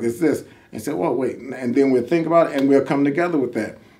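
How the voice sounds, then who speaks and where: A man with a fairly high voice and ordinary pitch variation is heard with audible room echo. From northwest Indiana (Gary). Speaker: reality TV contestant, postal worker. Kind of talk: casual interview. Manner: animated; repetitive, halting starts.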